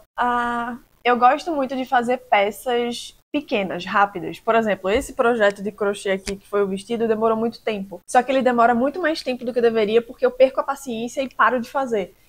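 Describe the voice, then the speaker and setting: Speaking in a strong Recife accent, a woman talks fairly quickly at a high pitch with hardly any pauses and ordinary pitch variation. The recording is very clean, its background silent. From Recife, Brazil. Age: 20s. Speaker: vlogger. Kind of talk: casual Q&A vlog.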